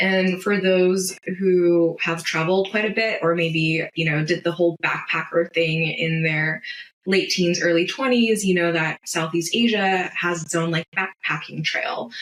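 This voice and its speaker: A woman's normal speaking voice in a General American accent, fairly low in pitch and fairly slow, with very even loudness, fairly even intonation and hardly any pauses. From United States. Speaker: astrocartographer. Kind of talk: podcast interview. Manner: casual, conversational.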